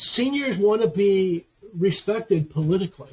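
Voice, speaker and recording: A man talks with lively intonation. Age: 70s. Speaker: history professor. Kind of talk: interview.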